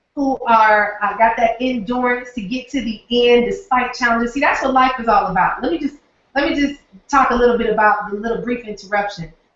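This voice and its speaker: An animated woman with a Southern US accent, high in pitch, at a fairly quick pace. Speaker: online marketing trainer. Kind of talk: live webinar training. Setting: live stream from home office.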